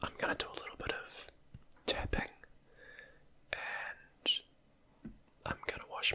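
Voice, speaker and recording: Noticeable noise sits in the background. A man's whisper comes through at a fairly slow speed. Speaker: ASMR creator. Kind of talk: ASMR whispering. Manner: whispering; soft-spoken.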